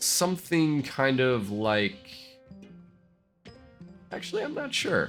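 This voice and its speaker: Backed by music in the background, a man at medium pitch talks at a very slow pace. His voice makes very wide pitch swings, broken by long, frequent pauses. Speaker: city-builder gameplay YouTuber. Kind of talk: casual gameplay commentary.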